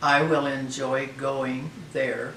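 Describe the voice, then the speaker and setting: A man with an American accent at a medium pitch, with audible room echo and noticeable background noise. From Oregon, US Pacific Northwest. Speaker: elderly resident interviewee. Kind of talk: interview.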